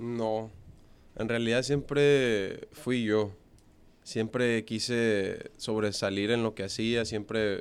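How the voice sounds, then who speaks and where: The man talks in a flat, monotone way. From Monterrey, northern Mexico. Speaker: professional baseball player. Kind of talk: interview. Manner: halting, many fillers.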